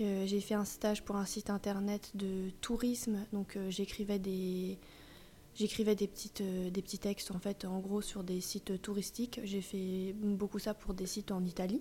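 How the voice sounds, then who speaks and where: Speaking at a fairly slow pace, a woman has a medium-pitched, somewhat breathy voice with a dark, mellow tone. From Paris suburbs, Yvelines. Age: 30s. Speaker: vintage dealer. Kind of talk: casual interview. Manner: hesitant, many fillers.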